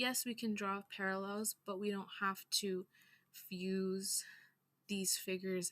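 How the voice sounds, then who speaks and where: Speaking at a very slow pace, a woman has a medium-pitched, bright, sharp tone that sounds shaky. The recording is very clean with a silent background and a dry, close sound with no echo. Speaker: astrology and culture teacher. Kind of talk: lecture. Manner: shaky voice on powerful topics.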